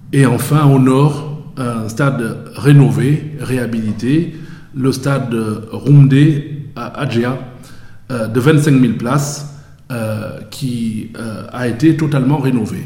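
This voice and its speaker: Amid noticeable background noise and audible room echo, a man of medium pitch speaks at a very slow pace with fairly even intonation and long, frequent pauses. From Cameroon. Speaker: sports lawyer. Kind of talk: interview.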